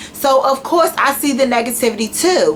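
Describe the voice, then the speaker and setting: Speaking at a moderate pace in an American accent, a woman with a high-pitched voice sounds animated over noticeable background noise. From Washington DC. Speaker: YouTuber. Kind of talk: rant.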